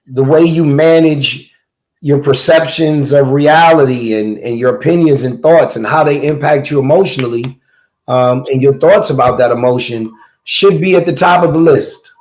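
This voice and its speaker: Someone with a New York accent speaks amid audible room echo. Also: man, fairly high pitch for a man, ordinary pitch variation, moderate pace. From Brooklyn, New York. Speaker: clinical psychologist. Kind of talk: casual chat.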